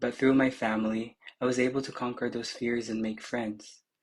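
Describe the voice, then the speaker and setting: This voice has a Filipino accent and moves at a moderate pace. The intonation is monotone and flat. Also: man. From Philippines, Cagayan de Oro. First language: Filipino language. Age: 20s. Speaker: pageant contestant. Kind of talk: prepared self-introduction.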